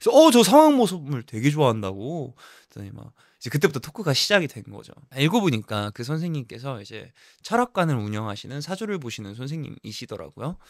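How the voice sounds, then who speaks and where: On a very clean recording with a silent background, a man with a slight Jeju accent and fairly high pitch talks at a very fast pace in an animated tone, with very wide pitch swings and big swings in loudness. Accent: slight Jeju intonation. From Jeju as small child, then Ilsan near Seoul. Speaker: actor and vlogger. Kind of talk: vlog storytelling.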